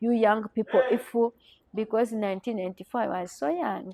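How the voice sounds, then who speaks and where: Dark and mellow in tone, a woman speaks with a Rwandan accent at a medium pitch with ordinary pitch variation, the sound dry and close with no echo. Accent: Rwandan francophone accent in English. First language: French. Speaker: journalist, genocide survivor. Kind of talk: interview testimony. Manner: halting, many repeated words.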